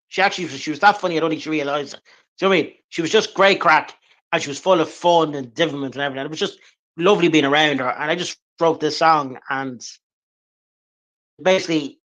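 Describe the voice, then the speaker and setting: Very fast speech in an Irish accent, fairly even in intonation, with long, frequent pauses and a quiet background. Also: man, fairly high pitch for a man. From Ireland, Drogheda, County Louth. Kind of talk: interview.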